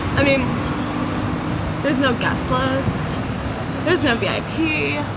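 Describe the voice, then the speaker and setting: A woman talks over loud background noise. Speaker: comic travel vlog character. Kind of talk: casual vlog chat. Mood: whiny, bored, complaining. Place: bus. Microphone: camera far.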